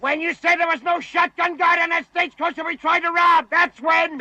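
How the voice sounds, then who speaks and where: A man's shouted, gruff, put-on character voice at an extremely high pitch, fairly quick and monotone with flat intonation. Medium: short film. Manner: gruff, shouting.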